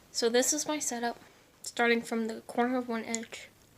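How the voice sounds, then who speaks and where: With noticeable background noise behind her, a woman talks at a moderate pace in a fairly high pitch. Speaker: beauty vlogger. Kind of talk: casual vlog tour. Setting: bedroom.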